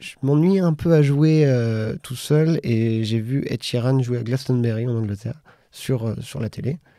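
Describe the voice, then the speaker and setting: A man's medium-pitched voice, dark and mellow in tone, with ordinary pitch variation at a fairly slow pace. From France and Britain. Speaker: singer-songwriter. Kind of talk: radio interview. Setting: radio studio. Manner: halting.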